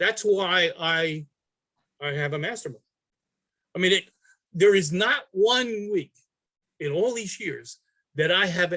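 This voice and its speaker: A man with a New York accent speaks in a raised, projected voice, high-pitched, with a bright, sharp tone. His pace is fairly slow, with long, frequent pauses and ordinary pitch variation. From New York City. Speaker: artist. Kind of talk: interview answer.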